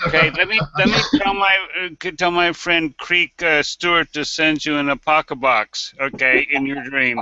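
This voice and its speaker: With a normal speaking voice, a man talks at a moderate pace and a fairly high pitch, using ordinary pitch variation. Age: 60s. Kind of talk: casual chat.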